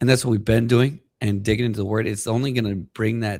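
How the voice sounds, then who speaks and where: A man with a fairly low, somewhat breathy voice speaks in fairly even intonation, recorded dry and close with no echo in a very clean take with a silent background. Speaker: podcast co-host. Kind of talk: faith-based podcast talk.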